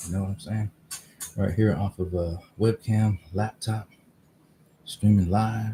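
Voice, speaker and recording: A man's fairly low, somewhat breathy voice, dark and mellow in tone, flat and monotone at a fairly slow pace with long, frequent pauses. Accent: American. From US West Coast, Oakland, California. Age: 50s. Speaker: vlogger. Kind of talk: casual solo livestream talk. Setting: outdoors in driveway. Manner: halting, many fillers. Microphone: laptop webcam.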